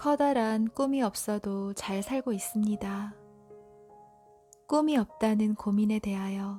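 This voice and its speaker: Over music in the background, a woman speaks in a calm tone at a fairly high pitch and a very slow pace, with ordinary pitch variation and long, frequent pauses. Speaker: audiobook reader. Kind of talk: sleep-time book reading. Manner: soft, calm, slow.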